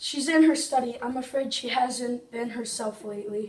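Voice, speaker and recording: A woman does a put-on character voice, raspy and high-pitched, at a moderate pace. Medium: stage play.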